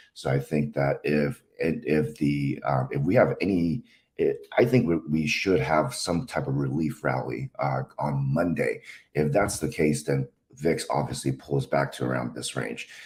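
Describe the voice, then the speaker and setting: Speaking at a fairly slow pace, a man with a very deep, low voice shows vocal fry and ordinary pitch variation. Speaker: stock market analyst. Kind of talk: market analysis tutorial. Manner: halting, many fillers.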